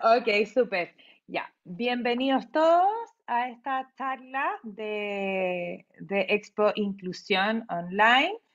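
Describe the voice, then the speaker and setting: A woman with a fairly high pitch speaks very slowly, her intonation lively. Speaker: psychologist and recruitment specialist. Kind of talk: webinar talk.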